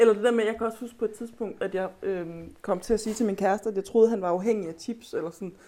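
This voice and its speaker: A woman speaks at a very fast pace. Her voice is fairly high, with a dark, mellow tone. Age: 30s. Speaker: author. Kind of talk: casual chat. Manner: halting.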